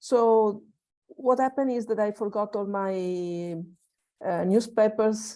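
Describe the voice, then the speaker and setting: A woman speaks with an Italian accent in a medium-pitched voice with a dark, mellow tone. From Italy. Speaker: workshop participant. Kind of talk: sharing in online group. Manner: halting, many fillers.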